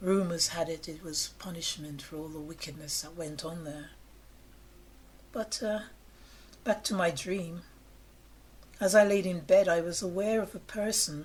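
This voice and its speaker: Speaking at a fairly slow pace, the voice is somewhat breathy, with ordinary pitch variation, long, frequent pauses and big swings in loudness. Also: woman. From England. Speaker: storyteller of personal ghost encounters. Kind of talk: personal ghost story told to camera.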